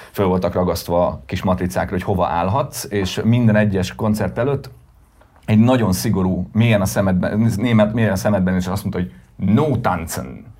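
With vocal fry and a dark, mellow tone, a man at a fairly low pitch speaks at a moderate pace with lively intonation. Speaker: music festival co-founder and band manager. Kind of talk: casual interview.

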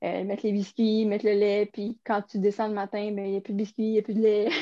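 The tone is dark and mellow. Delivery comes at a fairly quick pace with monotone, flat intonation. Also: woman. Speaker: podcast co-host. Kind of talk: casual chat.

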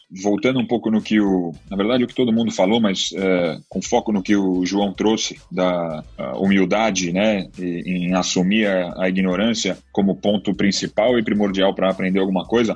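With an unremarkable speaking voice, a man of fairly low pitch speaks with fairly even intonation and hardly any pauses. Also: moderate pace, very even loudness. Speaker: company CEO. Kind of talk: panel discussion.

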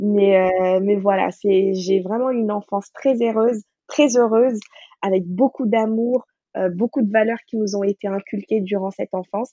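A woman with a plain, everyday voice talks at a medium pitch and a fairly slow pace. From Senegal, Dakar. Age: 30s. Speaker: cookbook author and food blogger. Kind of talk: interview.

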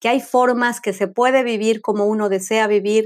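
A woman with a fairly high-pitched voice speaks at a moderate pace in a very clean recording with a silent background. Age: 50s. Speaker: spiritual coach. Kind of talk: podcast monologue.

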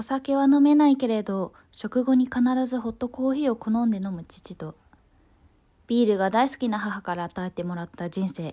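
Somewhat breathy, a woman's dark, mellow tone carries lively intonation at a moderate pace in a very clean recording with a silent background. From Osaka, Japan. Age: 20s. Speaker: essay narrator. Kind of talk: reading aloud a personal essay.

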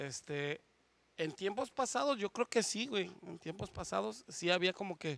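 Against a very clean, silent background with a dry, close sound and no echo, a man speaks in a bright, sharp tone at a high pitch. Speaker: former bar waiter captain. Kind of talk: casual chat.

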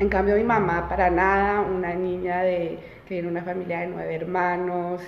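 A woman with a fairly low pitch speaks at a moderate pace in monotone, flat intonation, amid noticeable background noise and audible room echo. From France, Colombia and Belgium; Colombian parents. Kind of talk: casual chat.

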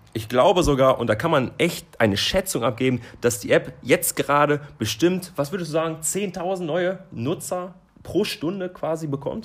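A man at a moderate pace with few pauses, fairly high pitch, and ordinary pitch variation

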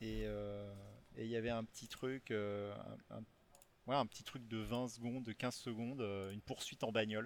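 A man with a medium-pitched voice speaks at a moderate pace in a flat monotone, with long, frequent pauses. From western France (Rochefort, Charente-Maritime). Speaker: video game artist. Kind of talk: interview.

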